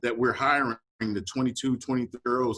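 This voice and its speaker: In a dry, close sound with no echo, a man with an American accent uses a plain, everyday voice at a medium pitch and a fairly quick pace. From Wisconsin, Milwaukee. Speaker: police chief. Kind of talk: panel discussion. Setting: video call.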